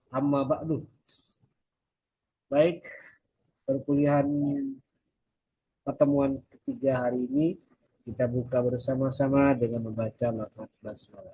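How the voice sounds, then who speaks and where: A man's dark, mellow, somewhat breathy voice at a medium pitch, fairly slow with long, frequent pauses. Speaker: university lecturer. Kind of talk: recorded lecture.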